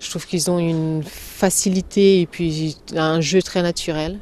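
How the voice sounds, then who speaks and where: A woman with a non-native accent speaks at a fairly low pitch with fairly even intonation. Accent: foreign accent in every language she speaks. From Slovenia. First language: Slovene (speaking French). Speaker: actress. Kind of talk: interview. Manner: halting, many hesitations.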